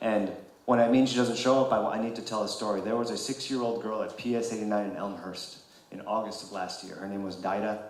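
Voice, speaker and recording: A man's fairly low voice at a very fast pace, intonation fairly even, with audible room echo and noticeable background noise. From New York City, Queens. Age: 40s. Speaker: congressional candidate. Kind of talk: political candidate forum speech. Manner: impassioned.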